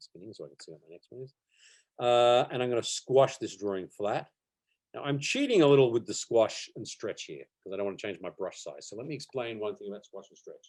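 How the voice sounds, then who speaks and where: The speaker is a man with an Australian accent. He talks fairly quickly. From Australia, Melbourne. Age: 40s. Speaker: animation teacher. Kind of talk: online workshop tutorial. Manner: casual, hesitant with fillers.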